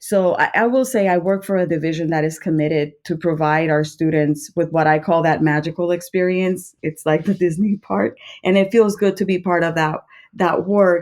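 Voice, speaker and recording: A woman with a Spanish accent at a moderate pace, with ordinary pitch variation. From Puerto Rico. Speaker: school administrator, former principal. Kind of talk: podcast interview. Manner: hesitant, with fillers.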